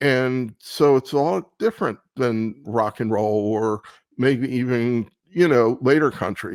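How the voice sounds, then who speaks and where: A man with an American accent at a very slow pace, ordinary pitch variation, a dry, close sound with no echo, and a very clean recording with a silent background. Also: medium pitch for a man. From Baltimore, US Mid-Atlantic. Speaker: radio show host. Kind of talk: casual interview.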